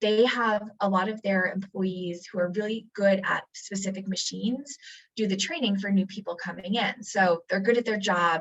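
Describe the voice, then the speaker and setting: This woman's voice sits at a medium pitch and sounds somewhat breathy. Her intonation stays fairly even. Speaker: community college workforce development staff. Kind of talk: presentation. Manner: fast.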